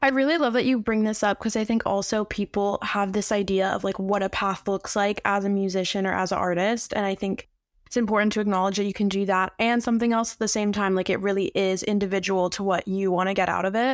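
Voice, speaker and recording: Delivered at a very fast pace with hardly any pauses, the speech keeps a very even loudness and fairly even intonation. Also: woman, medium pitch for a woman. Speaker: podcast host. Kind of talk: interview podcast conversation.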